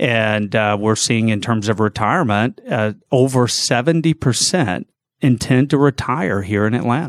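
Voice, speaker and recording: Speaking at a moderate pace and very even loudness, a man with an American accent has a plain, everyday voice of medium pitch, recorded very cleanly against a silent background with a dry, close sound and no echo. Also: ordinary pitch variation. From US South, north Georgia (Gainesville). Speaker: financial services executive. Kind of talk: radio interview. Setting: studio.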